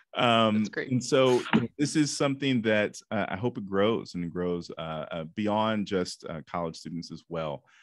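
A man with an American accent uses a plain, everyday voice, fairly low in pitch with lively intonation. He keeps a moderate pace with hardly any pauses. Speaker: career counselor and summit organizer; host. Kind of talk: moderated interview and panel discussion. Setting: video call. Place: home room. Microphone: studio mic.

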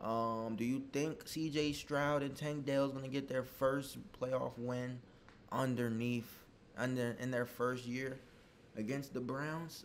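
Over light background noise, a man talks at a fairly slow pace. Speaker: sports fan youtuber. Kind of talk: casual predictions commentary. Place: home room. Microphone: webcam.

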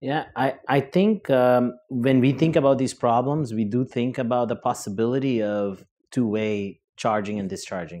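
A man's dark, mellow, medium-pitched voice at a moderate pace, with ordinary pitch variation and hardly any pauses. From Brazil. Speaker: engineering professor. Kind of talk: panel discussion. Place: hall. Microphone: lapel.

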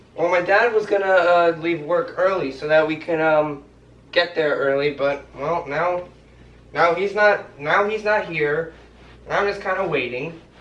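Amid audible room echo, a man talks at a fairly slow pace with ordinary pitch variation. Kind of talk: comedy sketch dialogue. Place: home room. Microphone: camera far.

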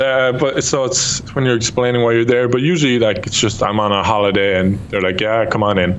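Speaking at a fairly quick pace, a man with an Irish accent barely pauses. Light background noise sits underneath. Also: ordinary pitch variation. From Ireland. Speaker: YouTube gamer. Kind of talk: casual chat. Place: home room. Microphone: studio mic.

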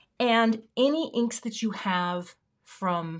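A woman with an American accent speaks in an animated tone over a quiet background. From US Pacific Northwest, Everett, Washington; Washington. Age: middle-aged. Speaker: craft YouTuber. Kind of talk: live stream card-making tutorial. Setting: home craft studio. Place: home room.

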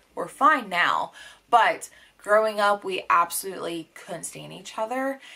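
Speaking at a moderate pace, a woman is heard. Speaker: book vlogger. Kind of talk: casual vlog chat. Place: home room.

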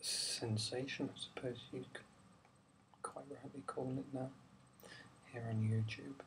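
Soft-spoken, a man talks in a flat monotone with long, frequent pauses. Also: medium pitch for a man, fairly slow pace. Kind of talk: ASMR film review talk. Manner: relaxed, simple.

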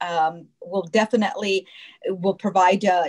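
Only a woman's voice is heard. Her surroundings are quiet. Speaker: show host. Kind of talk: interview wrap-up. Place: home room. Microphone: video call.

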